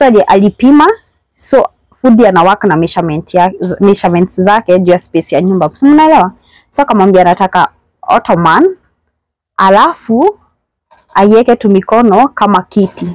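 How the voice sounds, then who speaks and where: A woman talks at a moderate pace with lively intonation. The sound is dry with no echo, and the background is quiet. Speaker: house tour host. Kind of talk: casual vlog chat. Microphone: phone near.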